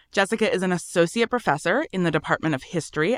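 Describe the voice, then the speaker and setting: A woman with a normal speaking voice, fairly low in pitch, speaks with lively intonation in a very clean recording with a silent background. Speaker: podcast host. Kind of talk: interview.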